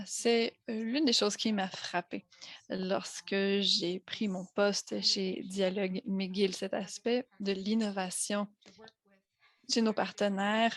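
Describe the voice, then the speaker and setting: A woman with an American accent and a medium pitch speaks at a very slow pace with fairly even intonation, in a dry, close recording with no echo. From United States. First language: English (speaking French). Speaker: associate director of a health-language program. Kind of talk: conference presentation. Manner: hesitant, with frequent fillers.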